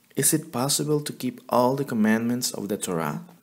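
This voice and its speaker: A man with a strong non-native accent speaks at a medium pitch and a moderate pace. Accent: thick non-native. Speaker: Bible teacher. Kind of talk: religious teaching.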